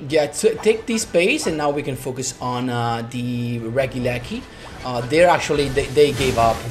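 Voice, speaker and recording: With music in the background, a man talks at a moderate pace with ordinary pitch variation. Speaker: gaming commentator. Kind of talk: gameplay commentary. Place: home room.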